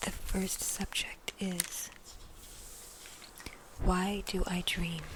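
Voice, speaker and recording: The speaker whispers at a very slow pace. Noticeable background noise can be heard. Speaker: ASMR creator. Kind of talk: casual talk to listener. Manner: whispered.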